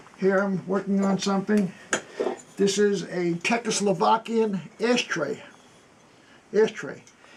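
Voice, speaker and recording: A man with a high-pitched voice speaks at a fairly slow pace and with fairly even intonation over noticeable background noise. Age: 80s+. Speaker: antiques restorer and Korean War veteran. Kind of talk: tutorial. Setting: workshop.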